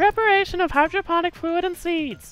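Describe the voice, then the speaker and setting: Faint music plays in the background as an extremely high put-on character voice moves at a fairly quick pace. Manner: playful, read aloud.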